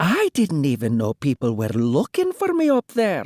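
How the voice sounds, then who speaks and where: At a moderate pace, the voice is a put-on character voice. Its pitch sits in the middle range. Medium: read story.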